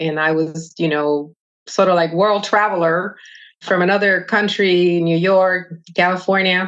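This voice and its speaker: In a Spanish accent, a woman speaks at a fairly slow pace. Her intonation is flat and monotone. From Dominican Republic. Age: 50s. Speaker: retired army veteran. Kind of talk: interview.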